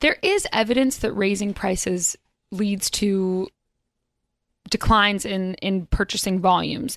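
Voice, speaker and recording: A woman's medium-pitched voice, fairly even intonation at a fairly slow pace, long, frequent pauses, and a dry, close sound with no echo. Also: very clean recording, silent background. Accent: American. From North Carolina. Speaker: business reporter. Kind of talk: radio interview. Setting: studio.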